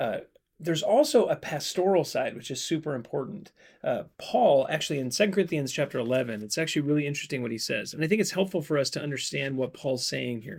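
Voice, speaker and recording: A man speaks very fast in a fairly high voice. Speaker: podcast host and Bible teacher. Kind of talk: casual Bible Q&A chat. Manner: joking, laughs often.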